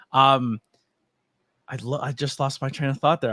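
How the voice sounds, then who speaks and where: A man with an ordinary speaking voice talks at a moderate pace and medium pitch, in a dry, close sound with no echo on a very clean recording with a silent background. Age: 30s. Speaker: podcast host and wrestling commentator. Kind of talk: casual interview chat.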